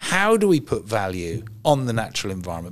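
In an English accent, the speaker talks at a moderate pace. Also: man. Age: 60s. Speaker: environmental campaigner. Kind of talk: interview. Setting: event venue.

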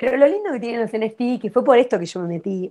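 A woman talks at a fairly quick pace in an ordinary speaking voice, with ordinary pitch variation against a quiet background. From Argentina. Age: 30s. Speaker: artist and environmental activist. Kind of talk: interview.

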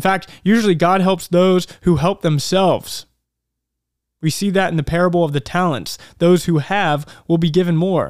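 The recording is very clean with a silent background, and the voice moves at a moderate pace with very even loudness. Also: man, high pitch for a man. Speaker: self-help podcast host. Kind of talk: motivational monologue. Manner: energetic, enthusiastic.

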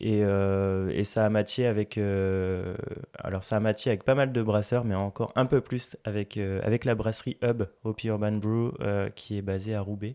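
A man's fairly low, dark, mellow voice at a fairly slow pace with fairly even intonation, dry and close with no echo on a very clean recording with a silent background. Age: 30s. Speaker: entrepreneur. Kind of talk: interview. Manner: halting.

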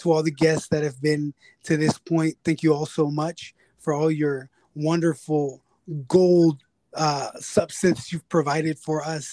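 Dry and close with no echo, a man's ordinary speaking voice comes at a fairly high pitch and a moderate pace. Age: 30s. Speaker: podcast host, counseling student. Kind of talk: casual interview chat.

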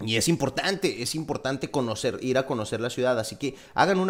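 The delivery comes at a very fast pace. The intonation is lively. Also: man. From Mexico, Torreón, Coahuila. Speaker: podcast host, engineer. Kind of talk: casual chat.

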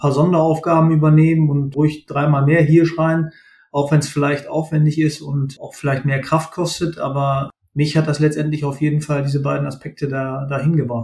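At a moderate pace, a man speaks somewhat breathily in a fairly high pitch, his intonation monotone and flat. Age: 30s. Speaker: supply chain manager. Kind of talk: interview.

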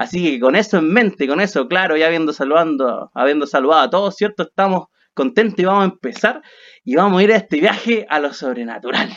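A man with a Chilean accent, high-pitched and fairly quick, lively intonation over a quiet background. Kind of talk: casual chat.

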